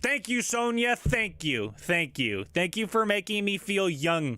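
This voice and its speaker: Over a very clean recording with a silent background, a man with a bright, sharp tone speaks at a fairly slow pace. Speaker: live streamer. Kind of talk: casual livestream chat. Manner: lower energy, subdued.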